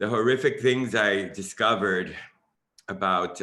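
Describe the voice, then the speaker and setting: A man is talking. His tone comes across bright and sharp. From Miami, Florida, US. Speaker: dance artist, choreographer. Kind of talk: panel discussion introduction.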